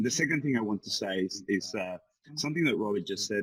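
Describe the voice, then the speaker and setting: Moving at a fairly quick pace, a man speaks in a fairly low pitch with a Spanish accent. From Venezuela. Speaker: business forum participant. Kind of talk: group discussion.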